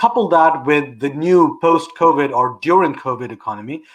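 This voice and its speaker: With a British accent, a man speaks at a fairly high pitch and a moderate pace. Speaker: public policy institute founder. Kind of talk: interview on live online show.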